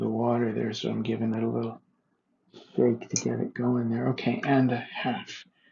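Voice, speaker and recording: A soft-spoken man at a moderate pace. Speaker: home cooking video maker. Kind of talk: tutorial.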